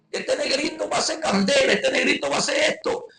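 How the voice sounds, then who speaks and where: A man speaks at a fairly quick pace. He talks with a Venezuelan accent. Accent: Guárico Venezuelan accent, noticeable. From Venezuela, Guárico. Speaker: evangelist preacher. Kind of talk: testimony.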